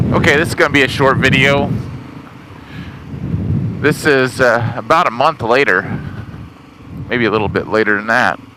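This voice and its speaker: A man talks with long, frequent pauses. Noticeable background noise runs underneath. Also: medium pitch for a man, ordinary pitch variation, moderate pace. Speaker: motorcycle rider. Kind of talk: casual talk while riding. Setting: outdoors.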